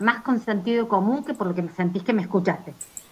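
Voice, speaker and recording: Ordinary pitch variation shapes the speech of a woman. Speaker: university teacher. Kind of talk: online class discussion. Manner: fast.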